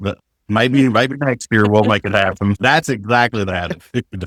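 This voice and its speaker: An animated tone in a dry, close sound with no echo. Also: man, very clean recording, silent background. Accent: Appalachian. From Kentucky, Appalachia. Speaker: teacher and author. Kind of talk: casual chat. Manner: animated storytelling.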